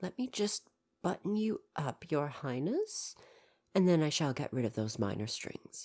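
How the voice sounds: A woman performs a put-on character voice at a low pitch with a slightly mellow tone and big pitch swings. She goes at a fairly slow pace in a very clean recording with a silent background.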